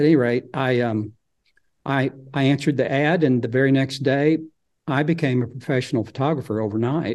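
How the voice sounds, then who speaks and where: A man with an Arkansas accent, fairly quick in pace and fairly even in intonation. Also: medium pitch for a man. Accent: Southern US (Arkansas). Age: 60s. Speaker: nature photographer and author. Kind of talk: casual interview chat.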